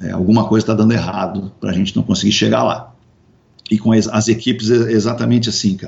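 Very fast speech from a man, pitched fairly low. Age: 50s. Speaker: radio host and businessman. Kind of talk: casual interview chat. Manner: halting, many repetitions.

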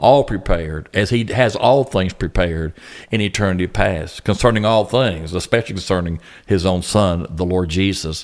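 A Southern US accent at a moderate pace with ordinary pitch variation. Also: man, very deep, low pitch for a man. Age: 60s. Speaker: pastor. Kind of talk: casual chat. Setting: room at youth camp.

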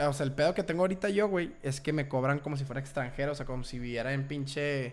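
A man with a fairly high voice speaks very fast, his pitch varying in an ordinary way. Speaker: podcast host. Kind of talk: casual chat.

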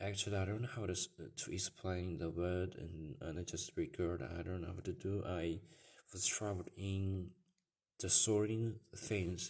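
A man's very deep, low, somewhat breathy voice in a Chinese accent, at a fairly slow pace with fairly even intonation, over a quiet background. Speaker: podcaster. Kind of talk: personal monologue. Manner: halting.

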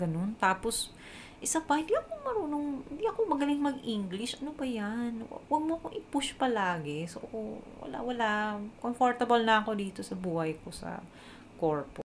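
The speaker has a Filipino accent and very wide pitch swings. The pace is fairly quick, with noticeable background noise. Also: woman, fairly high pitch for a woman. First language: Tagalog. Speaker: podcast host and online freelancer. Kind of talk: scripted-style solo podcast, casual Taglish. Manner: animated, enthusiastic.

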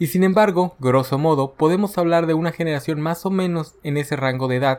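This man has an ordinary speaking voice, talking at a fairly quick pace with ordinary pitch variation. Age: 30s. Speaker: podcast host. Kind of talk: scripted narration.

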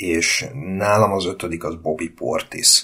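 The man's pitch is very deep and low. He speaks at a very slow pace. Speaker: basketball podcast host. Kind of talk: casual chat.

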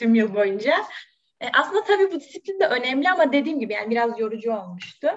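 This woman has an unremarkable speaking voice. She talks at a fairly quick pace with lively intonation. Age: 20s. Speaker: law student. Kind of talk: interview.

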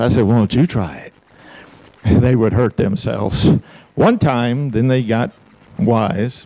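This man has a medium-pitched voice. He speaks with an Alabama accent. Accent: Southern US (Alabama). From US South. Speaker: pastor. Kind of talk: sermon.

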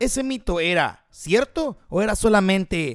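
A man talks in an animated tone. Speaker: podcast host. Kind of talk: casual monologue.

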